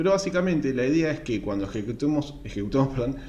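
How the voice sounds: A man's medium-pitched voice with lively intonation, a fast pace, a slightly mellow tone and audible room echo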